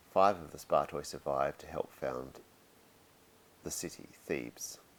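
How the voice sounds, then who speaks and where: A man talks at a fairly slow pace with vocal fry. His pitch variation is ordinary. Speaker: university anthropology lecturer. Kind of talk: academic lecture.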